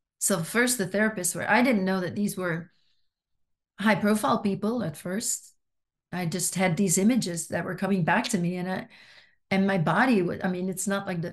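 A woman talks with fairly even intonation in a somewhat breathy voice. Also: quiet background. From Belgium (Flanders). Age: 60s. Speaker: author and abuse survivor. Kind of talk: interview testimony.

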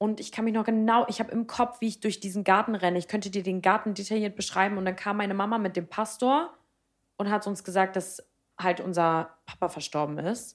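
An animated tone at a fairly quick pace, with ordinary pitch variation. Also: woman, medium pitch for a woman. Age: 20s. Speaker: podcast co-host. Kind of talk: casual chat.

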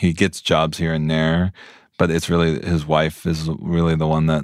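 In a dry, close sound with no echo, a man with an American accent speaks fairly slowly at a very deep, low pitch with monotone, flat intonation. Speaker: TV director and screenwriter. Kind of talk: interview.

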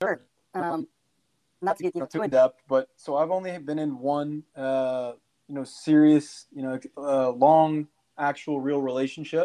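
In an American accent, a man talks at a fairly slow pace with fairly even intonation. His fairly high voice has a dark, mellow tone, recorded dry and close with no echo. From Kansas City, Missouri. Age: 20s. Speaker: insurance broker. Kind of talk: casual chat.

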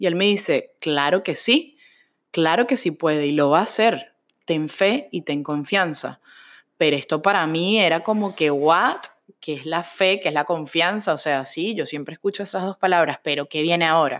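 On a very clean recording with a silent background, a woman uses an ordinary speaking voice at a moderate pace, with a fairly low pitch and ordinary pitch variation. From Venezuela. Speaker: religious podcaster. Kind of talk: personal testimony.

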